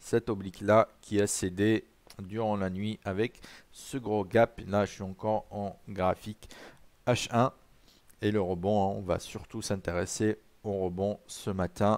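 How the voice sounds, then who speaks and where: In a dry, close recording with no echo, a man with a fairly low pitch speaks at a very slow pace in a monotone, flat intonation. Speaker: trading presenter. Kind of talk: live trading session, educational. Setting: live stream with chat. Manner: friendly, conversational.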